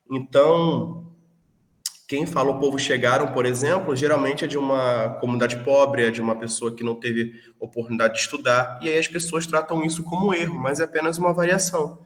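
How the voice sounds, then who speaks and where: A man speaks with a Rio de Janeiro accent and ordinary pitch variation. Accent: carioca. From Brazil, Rio de Janeiro (until 14). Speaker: teacher. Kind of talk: online lecture. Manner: hesitant, repeats words.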